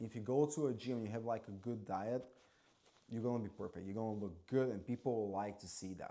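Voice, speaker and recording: A man speaks at a fairly quick pace with a non-native accent. His tone is dark and mellow, and his intonation stays fairly even. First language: not English. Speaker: former waiter and bartender. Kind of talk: casual vlog monologue. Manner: casual, filler-heavy.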